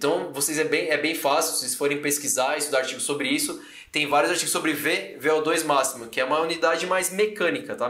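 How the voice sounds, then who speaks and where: A man talks at a fairly quick pace with hardly any pauses, using a fairly high pitch and ordinary pitch variation, amid noticeable background noise and audible room echo. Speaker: fitness coach and educator. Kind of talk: live-stream lecture. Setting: live stream on YouTube and Instagram. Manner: casual, conversational.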